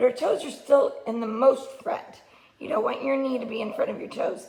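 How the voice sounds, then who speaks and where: Noticeable background noise surrounds speech delivered at a moderate pace. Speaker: gymnastics coach. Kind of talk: tutorial. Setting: home video recording.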